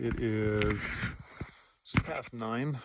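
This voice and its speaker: A quiet man speaks at a medium pitch. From eastern Canada (Ontario/southern Quebec). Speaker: hunter and vlogger. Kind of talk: casual vlog talk to camera. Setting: outdoors on a foggy snowy mountain. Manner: hesitant, many fillers and repeats; quiet, hushed while on hunt.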